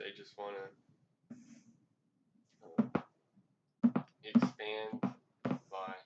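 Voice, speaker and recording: A quiet man's voice. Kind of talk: casual food review talk to camera. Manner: quiet, low volume.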